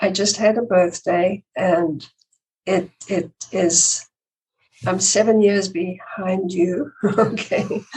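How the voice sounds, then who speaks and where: Somewhat breathy, a woman speaks at a very slow pace and medium pitch with fairly even intonation. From South Africa. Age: 80s+. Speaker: guest. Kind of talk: casual interview. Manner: halting.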